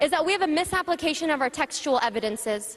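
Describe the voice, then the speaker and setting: Through noticeable background noise, a woman talks loudly and very fast in an animated tone, her high voice making very wide pitch swings. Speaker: panelist. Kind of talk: panel talk.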